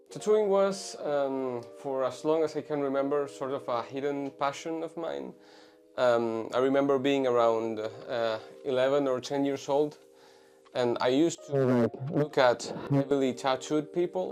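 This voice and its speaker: A man speaks with a Spanish accent at a fairly high pitch. He goes at a fairly slow pace with ordinary pitch variation. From Venezuela. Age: 20s. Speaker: tattoo artist. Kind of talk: interview. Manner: halting, many fillers.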